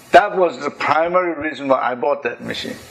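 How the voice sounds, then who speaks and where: A man talks at a fairly high pitch. Noticeable background noise runs behind him. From Korea. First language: Korean. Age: 70s. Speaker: engineer and inventor. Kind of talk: talk to an audience.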